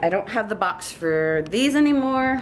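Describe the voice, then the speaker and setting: A woman with a Long Island accent speaks at a fairly slow pace. Her intonation is lively. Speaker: dog owner vlogger. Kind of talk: casual product show-and-tell vlog. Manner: chatty, talkative.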